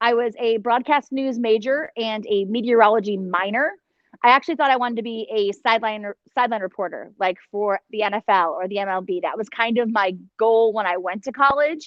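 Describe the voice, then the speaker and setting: With a Cleveland accent, a woman speaks at a fairly quick pace. Her pitch is fairly high, with ordinary pitch variation. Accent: Inland North US (Cleveland). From northeast Ohio (Cleveland). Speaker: TV meteorologist. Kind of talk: guest talk to a class. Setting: video call.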